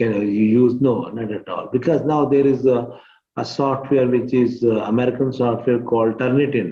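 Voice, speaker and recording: This man has a Pakistani accent and a medium pitch. He keeps a moderate pace with fairly even intonation. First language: Urdu. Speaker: teacher. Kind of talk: tutorial. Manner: halting.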